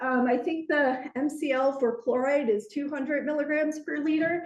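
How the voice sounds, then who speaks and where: The speech moves at a fairly slow pace. Audible room echo is present. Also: woman. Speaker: environmental manager presenting to a class. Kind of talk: lecture.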